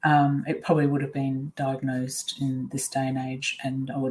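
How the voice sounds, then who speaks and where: Moderate pace with an Australian accent. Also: woman. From Australia (Perth). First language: Swiss German. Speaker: life coach. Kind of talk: webinar presentation.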